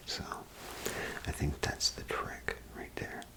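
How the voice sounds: The pace is slow. The speaker is whispering. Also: man.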